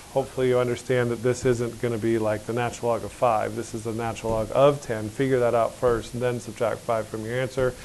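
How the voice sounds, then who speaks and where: A man rattles along at a very fast pace with hardly any pauses and monotone, flat intonation, in audible room echo. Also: medium pitch for a man. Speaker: high school math teacher. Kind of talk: classroom lecture. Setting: classroom with students.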